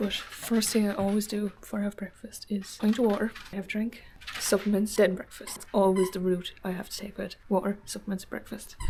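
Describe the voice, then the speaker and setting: Noticeable background noise sits behind a woman speaking with an Irish accent. Her pitch is medium and her pace fairly quick. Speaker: fitness vlogger. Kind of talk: vlog. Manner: casual, chatty.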